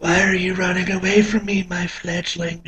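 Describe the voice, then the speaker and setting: Using a put-on character voice, a man speaks in a high pitch with flat, monotone intonation. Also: moderate pace. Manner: creepy, menacing.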